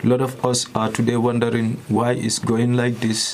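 A man speaks with noticeable background noise. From Gambia. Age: young. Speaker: asylum seeker. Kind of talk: testimony.

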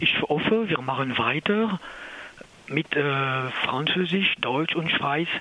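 A man speaks at a very slow pace with a fairly high pitch and ordinary pitch variation. His loudness stays very even over noticeable background noise. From France, outside Alsace. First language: French (speaking German). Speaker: anti-nuclear activist. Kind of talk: interview. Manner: halting.

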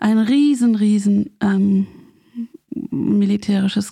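Somewhat breathy and dark, mellow in tone, a woman speaks at a very slow pace. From West Berlin, Germany. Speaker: community radio maker, daughter of a peace activist. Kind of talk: radio interview. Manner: halting.

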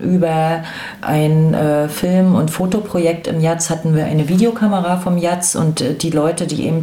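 A woman's fairly low voice with fairly even intonation, audible room echo and noticeable background noise. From Rostock, eastern Germany. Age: 40s. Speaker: former activist. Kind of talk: interview testimony.

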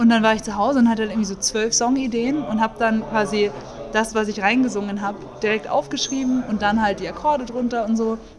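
A woman speaks at a very fast pace with a fairly high pitch and ordinary pitch variation, amid noticeable background noise. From Munich, Bavaria. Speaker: jazz singer and composer. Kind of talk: casual interview.

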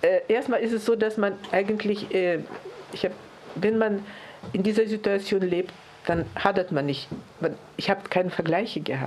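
Amid noticeable background noise, a woman at a medium pitch talks at a moderate pace with ordinary pitch variation and long, frequent pauses. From Lithuania and Tajikistan. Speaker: Holocaust survivor. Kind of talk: testimony. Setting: press conference.

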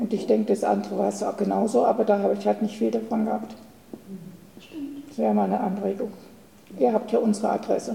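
Over noticeable background noise, a woman speaks very fast yet breaks off with long, frequent pauses. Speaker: retired teacher. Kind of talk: audience Q&A remark. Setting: audience at reading.

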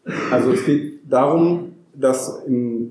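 There is audible room echo as a man talks at a fairly high pitch with a dark, mellow tone. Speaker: anti-nuclear activist, farm collective member. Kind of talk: public talk with live interpretation. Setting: room with live audience. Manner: deliberately paced for interpreter.

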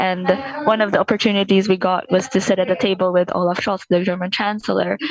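A woman talks at a very fast pace with a medium pitch and fairly even intonation. Her loudness stays very even, and there is noticeable background noise. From Philippines. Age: 20s. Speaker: climate activist. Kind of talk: interview. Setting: video call from a bus. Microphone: poor connection.

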